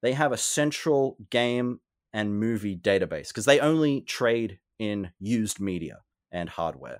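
A man with an Australian accent speaks at medium pitch and a fairly slow pace with lively intonation, on a very clean recording with a silent background. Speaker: game reviewer and collector. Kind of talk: casual interview chat.

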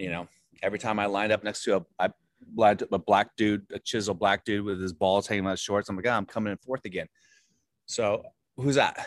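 Someone with an American accent talks at a fairly quick pace in a plain, everyday voice with fairly even intonation, the sound dry and close with no echo. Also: man, fairly low pitch for a man. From Virginia, US. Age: 40s. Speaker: comedian and actor. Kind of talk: casual interview. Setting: video call.

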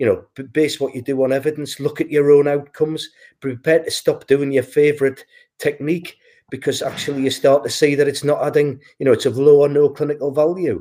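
A man with a British accent talks at a fairly quick pace and fairly high pitch. His tone is dark and mellow, his intonation monotone and flat. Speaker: physiotherapist and healthcare executive. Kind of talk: casual chat. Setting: video call.

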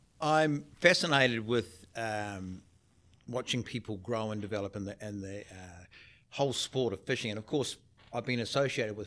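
On a very clean recording with a silent background, a man in a New Zealand accent talks at a moderate pace with ordinary pitch variation. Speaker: podcast host. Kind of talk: casual interview.

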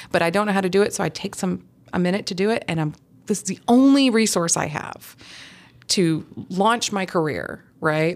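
At a moderate pace, a woman with an ordinary speaking voice talks at a medium pitch with ordinary pitch variation. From US South, Huntsville, Alabama. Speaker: portrait photographer. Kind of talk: interview.

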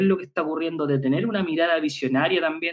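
The man's voice sits at a fairly high pitch. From Chile, Concepción. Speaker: physical education professor and researcher. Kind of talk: interview conversation. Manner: halting, with frequent repetitions.

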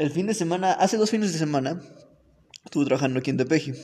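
With a dark, mellow tone and a somewhat breathy quality, a man is talking. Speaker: podcast host. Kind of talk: casual chat.

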